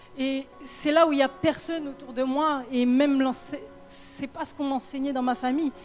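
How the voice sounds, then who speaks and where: Over background music, a woman speaks at a moderate pace with a high pitch and fairly even intonation. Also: big swings in loudness. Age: 20s. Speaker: church testimony speaker. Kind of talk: testimony.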